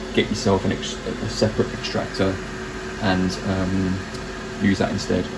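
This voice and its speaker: With a British accent, a man speaks at a very deep, low pitch amid noticeable background noise and audible room echo. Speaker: maker and craft video creator. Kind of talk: tutorial. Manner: hesitant, many fillers; slightly raised voice over noise.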